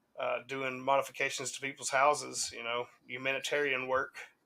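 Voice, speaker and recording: Speaking with a Southern US accent, a man has a fairly high pitch and a bright, sharp tone. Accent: Southern US, country. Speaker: hip hop podcast co-host. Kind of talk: casual chat. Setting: live stream.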